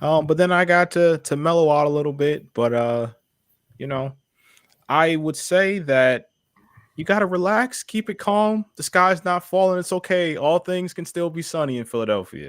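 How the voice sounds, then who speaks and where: A man with an American accent speaks at a high pitch and moderate pace, with lively intonation. The sound is dry and close with no echo, on a very clean recording with a silent background. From Ohio, Cleveland. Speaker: sports podcast co-host. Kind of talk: casual chat.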